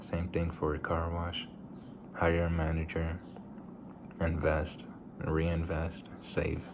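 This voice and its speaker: Amid noticeable background noise and audible room echo, a man with a very deep, low pitch speaks at a very slow pace with long, frequent pauses. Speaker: vlogger. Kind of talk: casual vlog monologue. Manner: halting, repeats words.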